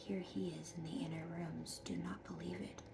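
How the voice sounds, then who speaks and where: Whispering and soft-spoken, a woman keeps a moderate pace while noticeable background noise carries on. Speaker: ASMR Bible reading creator. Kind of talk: Bible reading, scripture narration. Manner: whispered, soft.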